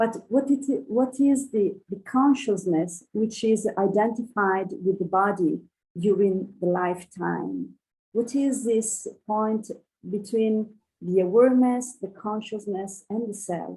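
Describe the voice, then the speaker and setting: A woman with a non-native accent speaks at a very slow pace in a medium-pitched, dark, mellow, somewhat breathy voice with ordinary pitch variation. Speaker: audience member asking a question. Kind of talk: question from audience. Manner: halting, many hesitations.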